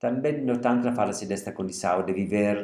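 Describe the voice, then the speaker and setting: A man's medium-pitched voice in an Italian accent, with lively intonation and audible room echo. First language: Italian (speaking Portuguese). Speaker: literature lecturer. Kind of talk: lecture; reading aloud.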